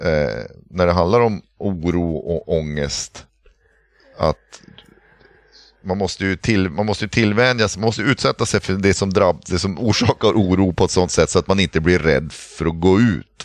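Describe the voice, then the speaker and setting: A man's very deep, low voice at a moderate pace, with ordinary pitch variation. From northern Sweden, Pite River area. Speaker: podcast co-host with burnout. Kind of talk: casual chat. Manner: halting, many hesitations.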